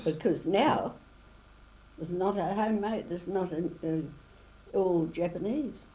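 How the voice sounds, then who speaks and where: Speaking with a New Zealand accent, a woman with a fairly low pitch and ordinary pitch variation talks at a fairly slow pace with long, frequent pauses. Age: 80s+. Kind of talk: interview answer.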